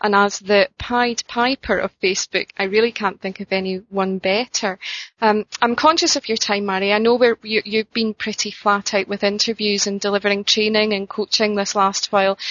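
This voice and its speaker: A woman speaks with a Scottish accent at a moderate pace. She leaves hardly any pauses. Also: medium pitch for a woman. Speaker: interviewer. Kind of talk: interview. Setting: phone call. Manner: hesitant, filler-heavy.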